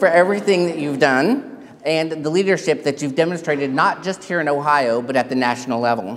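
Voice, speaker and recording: Speaking with a Texan accent, a man with a fairly high pitch is heard with audible room echo. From Texas. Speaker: keynote speaker, paralegal. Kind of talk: keynote speech. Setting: stage with audience.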